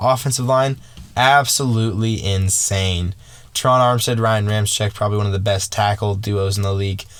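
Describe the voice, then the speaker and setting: Fairly even in intonation, a man talks at a fairly quick pace and a fairly low pitch. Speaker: sports podcaster. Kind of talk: casual solo podcast commentary. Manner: fast.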